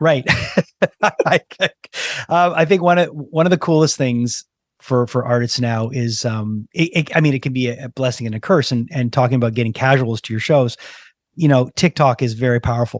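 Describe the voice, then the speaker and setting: On a dry, close recording with no echo and a quiet background, a man with an unremarkable speaking voice talks at medium pitch and moderate pace with ordinary pitch variation. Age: 50s. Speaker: podcast host. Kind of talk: casual interview chat.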